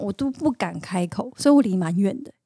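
On a very clean recording with a silent background and a dry, close sound with no echo, a woman speaks in a medium pitch with a dark, mellow tone and ordinary pitch variation. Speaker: singer and actress. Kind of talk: casual chat. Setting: studio.

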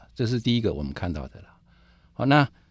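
A man's pitch swings very widely as he talks over a quiet background. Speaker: IT company division director. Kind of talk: interview.

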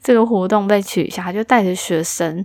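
Her unremarkable speaking voice is medium-pitched for a woman and shows ordinary pitch variation. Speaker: podcast host. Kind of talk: casual solo chat, answering listener messages.

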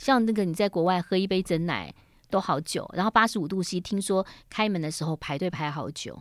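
An ordinary speaking voice, this woman talks at a fairly quick pace with medium pitch and ordinary pitch variation on a very clean recording with a silent background. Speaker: radio host. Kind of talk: interview. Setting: studio.

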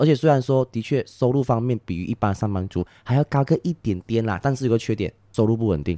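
Speaking at a fairly quick pace with hardly any pauses, a man uses lively intonation at a medium pitch, his tone dark and mellow in a dry, close sound with no echo. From Malaysia. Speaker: tour guide. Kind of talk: casual chat. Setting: recorded in Malaysia.

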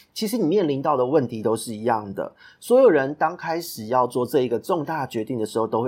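On a very clean recording with a silent background, a man speaks in a plain, everyday voice at medium pitch and a fairly quick pace, with lively intonation. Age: 30s. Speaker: podcast host and business consultant. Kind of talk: solo podcast monologue.

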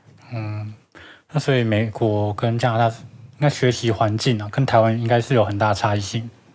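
In a very clean recording with a silent background, a man speaks at a medium pitch. His pace is moderate and his intonation monotone and flat. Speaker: podcast co-host. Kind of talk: casual chat.

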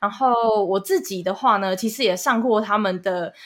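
A woman talks at a moderate pace in a medium pitch with ordinary pitch variation. It is a normal speaking voice. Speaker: podcast producer and co-host, student abroad. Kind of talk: casual chat.

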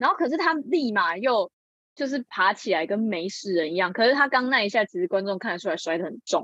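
The speaker is a woman with a medium pitch. She talks at a very fast pace. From Taiwan, Changhua. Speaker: acting student. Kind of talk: casual chat.

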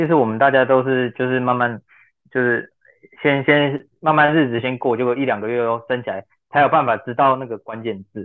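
A man speaks with a normal speaking voice at a medium pitch. His pace is fairly quick and his intonation fairly even. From Taiwan. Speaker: language school student. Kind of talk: casual chat.

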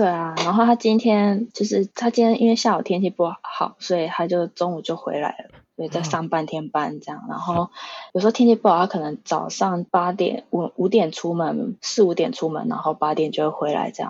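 Using a plain, everyday voice, a woman with a fairly low pitch talks at a moderate pace with ordinary pitch variation and hardly any pauses. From Taiwan (Pingtung). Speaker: tour guide. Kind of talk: casual interview.

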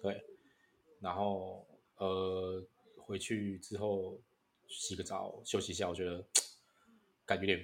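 The speech moves at a very slow pace with long, frequent pauses. Its intonation is monotone and flat. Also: man, very deep, low pitch for a man. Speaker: podcast co-host. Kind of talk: casual chat. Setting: online call.

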